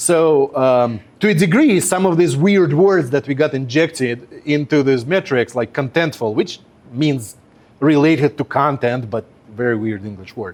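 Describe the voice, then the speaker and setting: The speaker has a Russian accent and lively intonation. The pace is moderate. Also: man, fairly high pitch for a man. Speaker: web performance engineer. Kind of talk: workshop presentation. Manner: conversational with many fillers.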